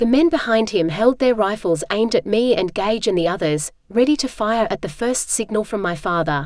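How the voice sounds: What comes through is a natural reading voice.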